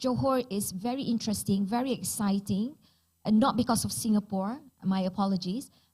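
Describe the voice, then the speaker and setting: This woman's voice sits at a fairly high pitch and is somewhat breathy. She moves at a moderate pace with ordinary pitch variation. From Malaysia, Penang. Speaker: digital transformation expert. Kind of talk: panel discussion. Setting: stage with audience.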